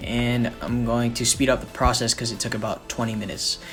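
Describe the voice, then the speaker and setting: A man speaks with music playing in the background. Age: 19. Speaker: son of the channel owner doing the voiceover. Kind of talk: comedic makeup tutorial voiceover. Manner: deadpan, sarcastic, joking.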